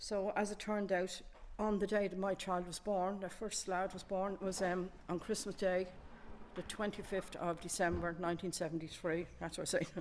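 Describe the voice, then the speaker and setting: A woman with an Irish accent speaks at a moderate pace in a flat, monotone way. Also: medium pitch for a woman. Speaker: community museum contributor. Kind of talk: casual show-and-tell chat. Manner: halting.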